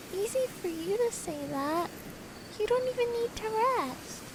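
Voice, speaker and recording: A female-sounding, put-on character voice speaks at a moderate pace with an extremely high pitch. Loud background noise sits behind it. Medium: dub. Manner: whiny.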